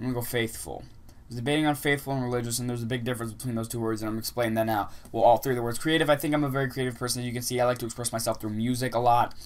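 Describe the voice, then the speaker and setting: A man of medium pitch talks at a very fast pace. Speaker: vlogger. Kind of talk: casual vlog monologue. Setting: outdoors. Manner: fast when excited.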